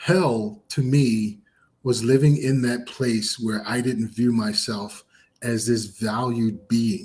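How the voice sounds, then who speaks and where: Somewhat breathy and medium-pitched, a man speaks at a very slow pace with fairly even intonation. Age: 50s. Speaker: podcast co-host and author. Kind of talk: casual chat.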